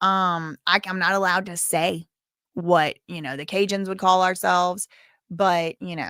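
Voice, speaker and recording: Her voice is fairly low in pitch, bright and sharp in tone, with monotone, flat intonation. The woman speaks at a fairly slow pace with big swings in loudness. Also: dry, close sound with no echo, very clean recording, silent background. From South Louisiana. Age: 30s. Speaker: livestream host. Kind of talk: casual livestream chat reading viewer comments. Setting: live stream.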